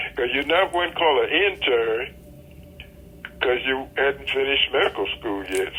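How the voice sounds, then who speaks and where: Noticeable background noise accompanies a man whose fairly high voice has lively intonation. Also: moderate pace. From Georgia, USA. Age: 80s+. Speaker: pediatric surgeon. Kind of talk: interview answer.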